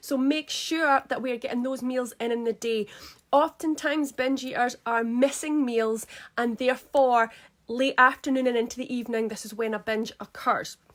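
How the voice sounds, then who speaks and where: A woman with a high-pitched voice speaks on a very clean recording against a silent background. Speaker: eating coach. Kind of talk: live stream talk. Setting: live stream at home. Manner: fast; energetic.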